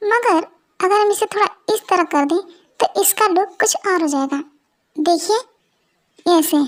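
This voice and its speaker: A woman performs a put-on character voice at an extremely high pitch. Long, frequent pauses break up her speech. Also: moderate pace, very even loudness. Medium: audio drama. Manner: soft, polite.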